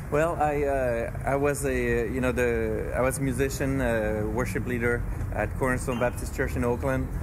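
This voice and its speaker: A man speaks with a French accent at a moderate pace and very even loudness. Noticeable background noise and audible room echo are present. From France, moved to US (California) as a teen. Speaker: church planter. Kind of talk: interview.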